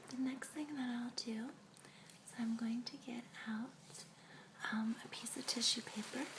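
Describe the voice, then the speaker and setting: Over noticeable background noise, a woman whispers in a soothing tone. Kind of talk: ASMR role play, clinic receptionist/therapist scene. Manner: soft whisper, slow, soothing.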